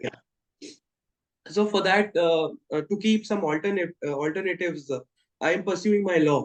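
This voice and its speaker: Moderate pace with long, frequent pauses, an Indian accent and ordinary pitch variation, in a dry, close recording with no echo. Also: man, high pitch for a man. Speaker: law student. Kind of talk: interview answer.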